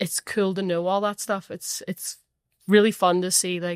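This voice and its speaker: With a strong Northern Irish accent, a woman speaks at medium pitch and a moderate pace in a monotone, flat delivery, captured in a very clean recording with a silent background. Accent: thick Northern Irish. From Northern Ireland. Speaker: professional footballer. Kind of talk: casual chat.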